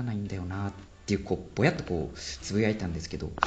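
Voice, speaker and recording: This is a man speaking with a fairly low pitch. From Japan, Sendai. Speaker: forest ecology PhD researcher. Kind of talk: interview explaining research.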